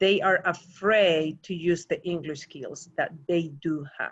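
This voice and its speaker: A woman speaks at a fairly slow pace with a non-native accent. Her pitch is fairly low and her intonation fairly even. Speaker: panelist, former ESL teacher. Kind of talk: panel discussion.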